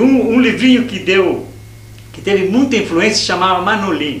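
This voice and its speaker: A man speaks with audible echo from the room. Noticeable background noise runs under his voice. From Brazil, São Paulo state (Jundiaí, São Paulo city). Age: 60s. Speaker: anarchist activist. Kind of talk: interview. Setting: university archive room. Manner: halting, many self-corrections.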